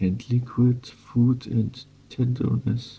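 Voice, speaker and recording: Soft-spoken and somewhat breathy, a man with a German accent talks very slowly in a dark, mellow tone. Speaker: ASMR creator. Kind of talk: reading aloud.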